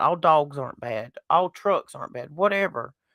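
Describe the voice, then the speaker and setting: A woman with a Southern US accent and very wide pitch swings, in a very clean recording with a silent background. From US South. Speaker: podcast host. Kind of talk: casual chat. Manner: animated.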